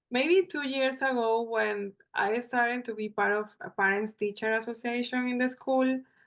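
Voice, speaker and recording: Against a quiet background, a woman with a bright, sharp tone and high pitch speaks very slowly with lively intonation. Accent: Venezuelan. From Venezuela. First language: Spanish. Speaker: journalist and bars facilitator. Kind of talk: podcast interview.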